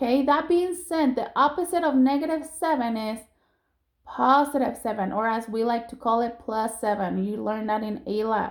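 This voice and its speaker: A woman with an unremarkable speaking voice, fairly high pitch and lively intonation at a moderate pace, on a very clean recording with a silent background. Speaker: math teacher. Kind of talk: recorded lesson for students.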